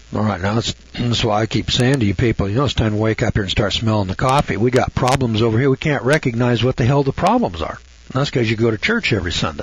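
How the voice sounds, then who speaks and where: Over noticeable background noise, a man talks at a very fast pace with very even loudness, medium pitch and ordinary pitch variation. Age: 70s. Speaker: radio host. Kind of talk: radio monologue. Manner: folksy, rambling conversational.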